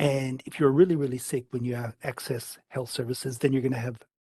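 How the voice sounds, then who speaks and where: A man's medium-pitched, somewhat breathy voice with a dark, mellow tone, monotone and flat at a moderate pace, in a dry, close sound with no echo. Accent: Canadian. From Canada. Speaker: state politician on parliamentary committee. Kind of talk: parliamentary committee questioning. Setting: parliamentary public hearing.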